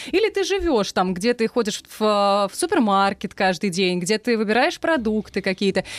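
A woman's normal speaking voice, a normal speaking voice with fairly high pitch and lively intonation, moderate pace, hardly any pauses, dry, close sound with no echo and a very clean recording over a silent background. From Russia, Saransk. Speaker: former radio news presenter. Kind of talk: casual chat. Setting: studio.

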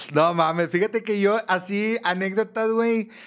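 A man at a moderate pace. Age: 30s. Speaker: podcast co-host. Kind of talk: casual chat.

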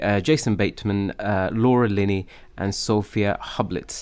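A man with a normal speaking voice talks at a moderate pace, fairly low in pitch, with ordinary pitch variation. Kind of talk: casual chat.

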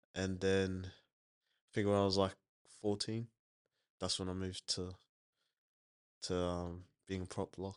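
Against a quiet background, a man with a very deep, low pitch speaks at a moderate pace in a flat monotone, leaving long, frequent pauses. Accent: Australian. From Logan, south Brisbane, Queensland. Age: young. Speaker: rugby league player. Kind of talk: interview. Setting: studio. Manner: halting.

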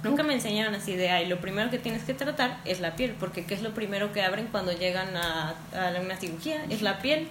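Over noticeable background noise and audible room echo, a woman at medium pitch talks at a fairly quick pace with lively intonation and hardly any pauses. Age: 20s. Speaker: dermatofunctional therapist. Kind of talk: interview. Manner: explanatory.

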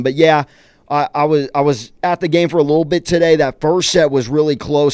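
A man at a fairly high pitch and a fairly quick pace. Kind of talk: casual campus radio sports banter, opinionated debate. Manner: emphatic, opinionated, animated.

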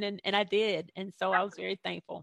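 A woman with an unremarkable speaking voice talks at a fairly quick pace with ordinary pitch variation. The background is quiet. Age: 40s. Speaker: life coach and author. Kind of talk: interview. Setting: video call.

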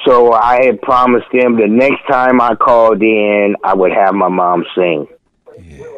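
Using an ordinary speaking voice, a man with an American accent talks at a fairly slow pace, with medium pitch and ordinary pitch variation. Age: 50s. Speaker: music producer. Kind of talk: casual chat. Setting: phone call.

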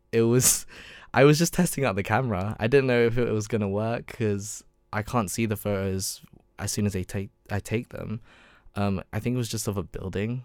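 On a very clean recording with a silent background, a man with a London accent and a fairly low pitch speaks at a moderate pace with ordinary pitch variation. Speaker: university student and photographer. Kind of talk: casual interview chat. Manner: hesitant, many ums and stammers.

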